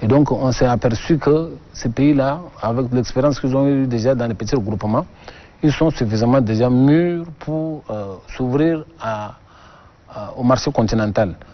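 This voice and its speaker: With an unremarkable speaking voice, a man talks at a fairly slow pace, at medium pitch, with ordinary pitch variation. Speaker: government export official. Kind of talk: TV interview.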